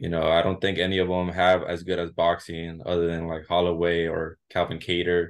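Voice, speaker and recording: In an American accent, a man speaks fairly quickly with hardly any pauses. His very deep, low voice stays monotone and flat. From southern California, Santa Ana, Mexican heritage. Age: 20s. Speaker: MMA fighter. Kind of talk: interview. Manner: halting, many repeats and fillers.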